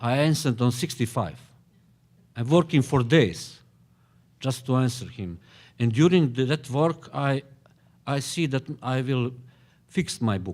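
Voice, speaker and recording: On a very clean recording with a silent background, a man speaks fairly slowly at a medium pitch with ordinary pitch variation and long, frequent pauses. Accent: Bosnian. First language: Bosnian. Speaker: novelist. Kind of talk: panel discussion. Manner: halting, many hesitations.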